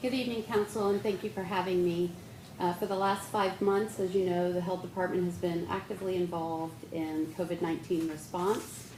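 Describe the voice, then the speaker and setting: The woman's voice has a medium pitch and fairly even intonation at a fairly quick pace. Noticeable background noise and audible room echo are present. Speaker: public health official. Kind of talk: presentation to city council. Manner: soft-spoken. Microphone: too quiet.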